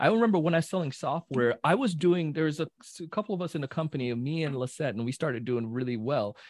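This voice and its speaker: A man with a fairly high pitch rushes along at a very fast pace, hardly pausing, his intonation lively. The sound is dry and close with no echo, over a quiet background. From Jamaica. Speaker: sales trainer. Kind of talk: casual chat. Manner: animated.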